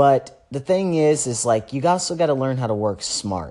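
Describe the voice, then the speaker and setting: Relaxed in tone, a man speaks with lively intonation over a quiet background. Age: 20s. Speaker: podcast host and trading educator. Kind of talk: casual solo monologue. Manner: relaxed, filler-heavy.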